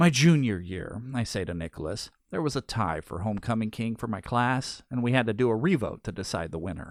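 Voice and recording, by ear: The speaker is reading aloud in a natural voice. The intonation is lively.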